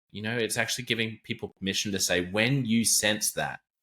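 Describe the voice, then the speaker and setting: The voice belongs to a man, fairly low in pitch with a bright, sharp tone. The recording is very clean, with a silent background. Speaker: podcast host. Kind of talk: podcast interview talk.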